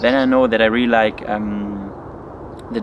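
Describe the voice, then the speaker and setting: Noticeable background noise sits behind a man with a non-native accent. His intonation stays monotone and flat. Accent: non-native English speaker. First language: German. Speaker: study vlogger. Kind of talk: casual Q&A vlog. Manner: hesitant, many fillers.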